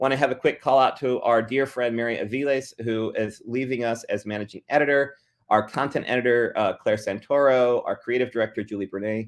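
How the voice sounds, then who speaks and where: This man talks at a fairly quick pace with hardly any pauses, his pitch medium and his intonation fairly even. The background is quiet. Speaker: magazine editor presenting updates. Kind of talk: meeting presentation. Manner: fast, hurried.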